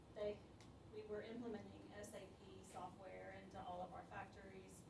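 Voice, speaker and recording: A woman with an American accent at a moderate pace, amid audible room echo and noticeable background noise. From Alabama, US South. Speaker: food manufacturing manager. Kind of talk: career talk to students. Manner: hesitant, many fillers.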